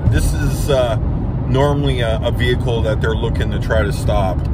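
Loud background noise runs behind a man's voice. The sound itself is dry with no echo. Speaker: road trip vlogger. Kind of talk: casual vlog chat. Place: car. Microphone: phone near.

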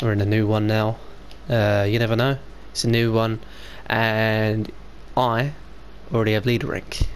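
In a British accent, the speaker delivers flat, monotone lines at a very even loudness, broken by long, frequent pauses. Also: man, fairly low pitch for a man, moderate pace. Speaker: gaming YouTuber. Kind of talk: casual gameplay commentary.

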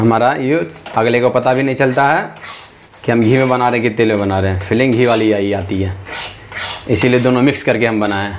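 A man speaks at a moderate pace against light background noise. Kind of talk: cooking tutorial. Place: kitchen. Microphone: lapel.

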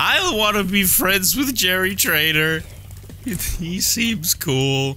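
Over clear background noise, a man in a put-on character voice sounds whiny, speaking at a high pitch and a very slow pace. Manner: irrationally upset, whiny.

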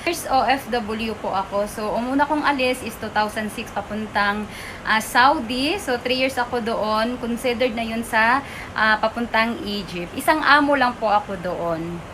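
A woman at a fairly slow pace and a fairly high pitch, with ordinary pitch variation, over noticeable background noise. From Sarangani province, Mindanao, Philippines. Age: 40s. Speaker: vlogger and former overseas worker turned entrepreneur. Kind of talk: personal introduction vlog. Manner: polite.

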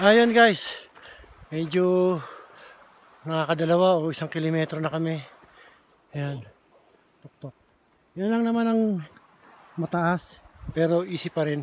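Pausing long and often, a man speaks fairly slowly at a high pitch with ordinary pitch variation, while background noise is noticeable. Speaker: travel vlogger. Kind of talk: casual vlog narration. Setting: outdoors on a hiking trail. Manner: halting.

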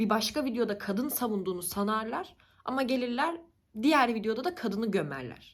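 A woman speaks in a fairly high pitch with an animated tone, very wide pitch swings and a somewhat breathy quality. The recording is very clean, with a silent background. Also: fairly quick pace. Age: 20s. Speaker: YouTuber. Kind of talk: casual vlog monologue.

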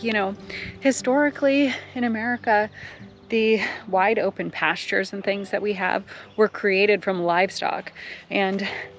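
Faint music sits in the background while a woman speaks at a moderate pace with ordinary pitch variation, in a dry sound with no echo. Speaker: nature vlogger. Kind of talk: casual vlog chat. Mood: enthusiastic, excited. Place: open country. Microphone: phone near.

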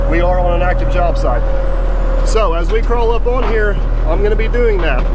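Loud background noise sits behind a man's voice. He speaks at a fairly quick pace with ordinary pitch variation. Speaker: equipment operator trainer. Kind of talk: tutorial. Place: farm machine. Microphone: phone near.

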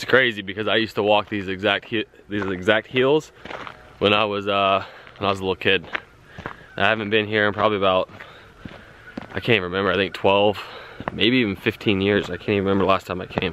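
A man at a very fast pace, fairly low in pitch, monotone and flat, in a dry sound with no echo and light background noise. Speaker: family vlogger. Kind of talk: casual vlog chat. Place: forest. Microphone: phone near.

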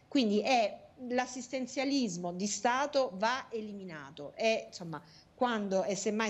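This woman's intonation is lively. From southern Italy, Taranto. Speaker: national politician. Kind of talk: political interview. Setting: video call. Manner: hesitant, many fillers. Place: home room. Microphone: earbuds.

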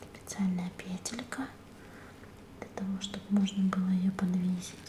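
A woman speaks at a fairly slow pace in a monotone, flat intonation, with audible room echo and light background noise. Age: 30s. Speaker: ASMR and beauty blogger. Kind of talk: ASMR cosmetics haul, casual talk to camera. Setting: close mic, studio-like. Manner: muffled, quiet. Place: home room.

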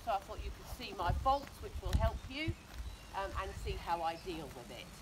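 Loud background noise fills the recording. Through it, a woman speaks at a moderate pace. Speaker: dressage rider. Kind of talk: riding tutorial. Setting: outdoors. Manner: loud, projecting. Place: open country. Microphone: camera far.

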